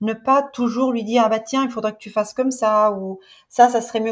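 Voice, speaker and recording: At a moderate pace, a woman with a fairly high pitch speaks on a very clean recording with a silent background. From Sicily, Italy. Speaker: host mother of au pairs. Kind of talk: podcast interview answer.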